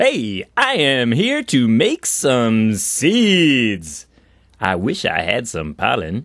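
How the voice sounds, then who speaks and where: In a cartoonish character voice pitched at a medium level, a man speaks at a very slow pace. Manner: cheerful, wishful.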